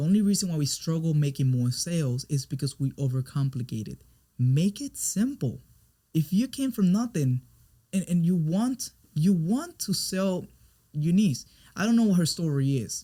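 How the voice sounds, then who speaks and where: A man with a Spanish accent, a dark, mellow tone and very wide pitch swings. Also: fairly high pitch for a man, moderate pace. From Puerto Rico. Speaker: business coach and brand expert. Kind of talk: interview conversation. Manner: halting, frequent repetitions.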